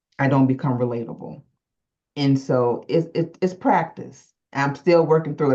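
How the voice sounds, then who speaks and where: A woman's voice, very deep and low in pitch, carries a dark, mellow tone and ordinary pitch variation. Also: quiet background. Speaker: entrepreneur, program participant. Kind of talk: group coaching call. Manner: robotic, like reading a script.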